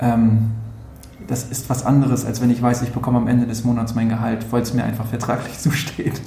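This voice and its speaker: Through audible room echo and noticeable background noise, a man speaks at a fairly quick pace and medium pitch in a monotone, flat intonation. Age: 30s. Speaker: social media agency owner. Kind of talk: interview. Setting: office.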